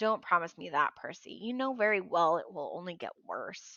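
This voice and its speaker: In a raspy, put-on character voice of medium pitch, a woman speaks at a moderate pace with lively intonation. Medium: read story. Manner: warm, anxious.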